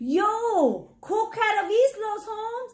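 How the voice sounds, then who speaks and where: This is a put-on character voice at an extremely high pitch, with growling. It moves at a very slow pace. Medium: read story. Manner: purring, slangy.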